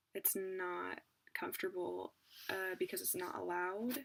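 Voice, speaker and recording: Every word is whispered. The delivery is very slow. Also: woman. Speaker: parent. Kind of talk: casual talk to camera.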